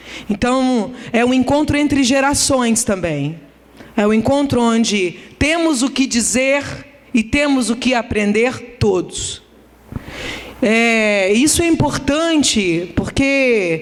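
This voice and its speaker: Speaking at a very slow pace with long, frequent pauses, a woman with a high pitch uses lively intonation at a very even loudness, while audible room echo and noticeable background noise fill the recording. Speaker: academic lecturer. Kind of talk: conference lecture.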